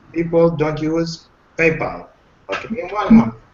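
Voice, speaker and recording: Over noticeable background noise, a man with a fairly high pitch talks with a non-native accent. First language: not English. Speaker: webinar participant asking questions. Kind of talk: live Q&A webinar. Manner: halting, with many fillers.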